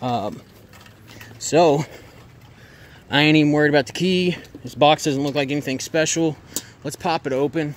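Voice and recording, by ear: A man speaks at a fairly high pitch and moderate pace, with ordinary pitch variation and long, frequent pauses.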